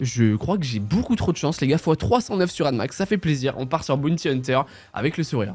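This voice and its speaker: A man talks at a fairly quick pace in an animated tone. His pitch swings very widely, and the recording is very clean with a silent background. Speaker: casino streamer. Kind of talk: live gambling commentary. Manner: fast.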